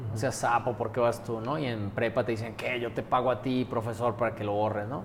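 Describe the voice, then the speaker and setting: Fairly quick speech in a monotone, flat intonation. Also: man. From Colombia. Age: 40s. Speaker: university rector. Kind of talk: interview. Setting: university premises.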